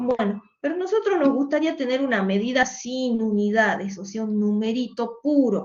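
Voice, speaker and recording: A woman speaks loud and at a high pitch. Her intonation is lively and her pace moderate. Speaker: economics teacher. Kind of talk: online lecture. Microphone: saturated audio, no microphone, computer mic.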